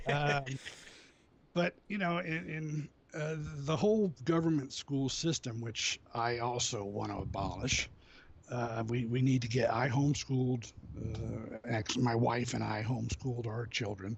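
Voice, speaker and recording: A man speaks at a fairly slow pace with a medium pitch, ordinary pitch variation and a somewhat breathy voice. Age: 60s. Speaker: activist. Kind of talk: interview. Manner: halting.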